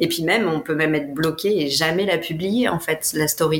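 At a moderate pace, a woman speaks with fairly even intonation over noticeable background noise. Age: 30s. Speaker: life coach. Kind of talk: interview.

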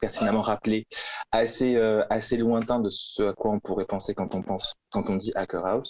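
A man talks at a moderate pace in a monotone, flat delivery. The sound is dry and close, with no echo. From France, Toulouse. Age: 20s. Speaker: law graduate, co-living resident. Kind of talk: podcast interview. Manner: halting.

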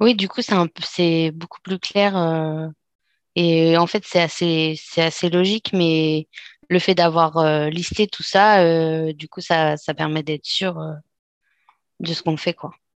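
Against a quiet background with a dry, close sound and no echo, a woman speaks very slowly at a fairly low pitch, her fairly even intonation paired with big swings in loudness and long, frequent pauses. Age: 30s. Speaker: aspiring interior decorator. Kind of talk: casual chat. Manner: halting.

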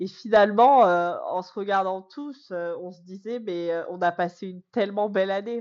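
Her pitch sits in the medium range and varies ordinarily. This woman's pace is fairly slow. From France, Corrèze. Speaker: teacher. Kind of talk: podcast interview. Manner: hesitant, many fillers.

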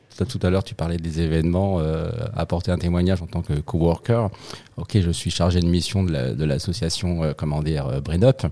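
Ordinary pitch variation and a moderate pace in a dark, mellow tone. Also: man, very deep, low pitch for a man. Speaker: association project officer, coworker.

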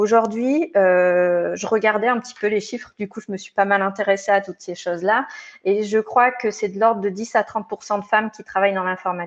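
Here a woman uses a normal speaking voice, with medium pitch and a moderate pace. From France, Hautes-Alpes. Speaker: tech recruiter. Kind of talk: interview.

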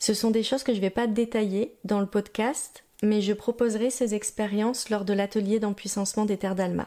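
At a moderate pace, a woman speaks with a fairly high pitch, a dark, mellow tone, monotone, flat intonation and very even loudness. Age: 30s. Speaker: podcast host and personal development coach. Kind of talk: solo podcast monologue.

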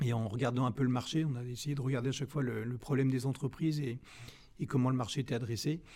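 A man's medium-pitched voice with a dark, mellow tone, very fast pace, and fairly even intonation. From Brittany, France (Rennes). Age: 50s. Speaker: business owner. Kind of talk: interview.

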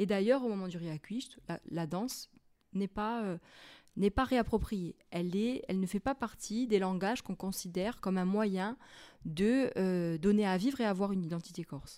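This woman has a medium pitch and a dark, mellow tone, speaking at a moderate pace with ordinary pitch variation. The recording is very clean, with a silent background. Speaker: university lecturer in anthropology. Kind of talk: interview.

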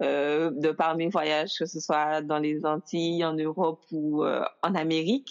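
At a very slow pace, a woman talks in a fairly low pitch. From Guadeloupe. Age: 20s. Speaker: blogger. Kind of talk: casual chat.

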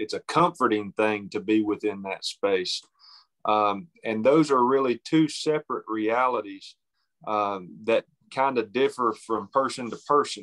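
Fairly slow, medium-pitched man's voice in an Appalachian accent, with ordinary pitch variation and a dry, close sound with no echo over a quiet background. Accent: Southern Appalachian US. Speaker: novelist. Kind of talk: interview. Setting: phone call.

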